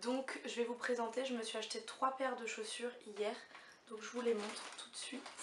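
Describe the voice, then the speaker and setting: In a room with audible echo and noticeable background noise, a woman speaks at a moderate pace in a flat monotone with a fairly high pitch. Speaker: beauty and fashion vlogger. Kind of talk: haul video chat. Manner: hesitant with many fillers.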